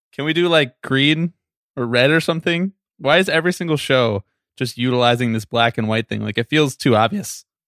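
With an ordinary speaking voice, a man talks at a fairly quick pace and a medium pitch. His pitch moves in an ordinary way. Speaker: producer. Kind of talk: casual recap chat.

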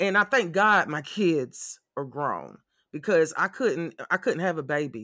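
A raised, projected voice with a bright, sharp and animated tone moves at a fairly slow pace. The recording is very clean, with a silent background. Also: man. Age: 40s. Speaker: podcast host. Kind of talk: casual commentary monologue.

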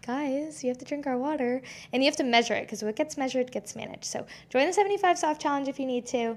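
A woman's high-pitched voice with an American accent, animated in tone, ordinary in pitch variation, in a very clean recording with a silent background. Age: 20s. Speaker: podcast host, fitness coach. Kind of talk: casual solo podcast chat.

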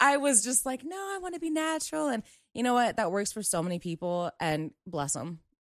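With an American accent, the speaker moves at a fairly quick pace through very wide pitch swings. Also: woman, fairly high pitch for a woman. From US, Maryland. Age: 20s. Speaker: veteran, nonprofit worker. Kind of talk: casual chat.

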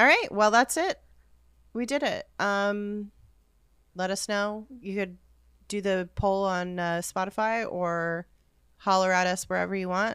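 A woman speaks fairly slowly at a medium pitch, with ordinary pitch variation. Her speech has long, frequent pauses. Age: 30s. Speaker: podcast co-host. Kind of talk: casual chat.

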